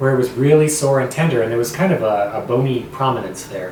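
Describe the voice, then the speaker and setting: The speaker goes at a fairly quick pace with ordinary pitch variation, amid audible room echo and noticeable background noise. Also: man. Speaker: vlogger with a voice disorder. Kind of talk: personal vlog talk.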